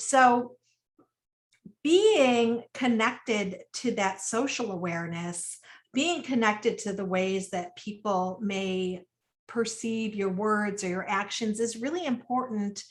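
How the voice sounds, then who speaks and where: Very slow speech from a woman with a fairly high pitch and ordinary pitch variation. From United States, Sicilian-American family. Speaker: webinar speaker, women's wellness educator. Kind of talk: webinar talk. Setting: online webinar. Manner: naturally loud; conversational with frequent fillers.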